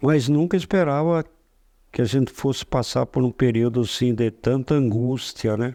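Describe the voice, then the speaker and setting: Recorded very cleanly with a silent background and a dry, close sound with no echo, a man talks in a dark, mellow tone. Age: 80s+. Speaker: cinema owner. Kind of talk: interview. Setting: office.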